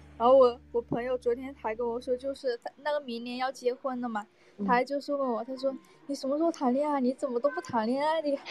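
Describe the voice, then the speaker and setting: Noticeable background noise behind very fast talk and fairly even intonation. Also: woman, high pitch for a woman. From Guangdong, Shantou. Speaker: live-stream caller. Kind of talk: casual chat.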